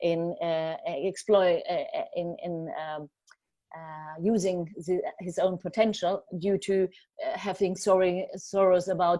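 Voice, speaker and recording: Over a quiet background, a woman with a German accent and medium pitch speaks very slowly in a flat monotone with a dark, mellow tone. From Germany. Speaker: journalist. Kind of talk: talk. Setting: video call. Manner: halting, many fillers.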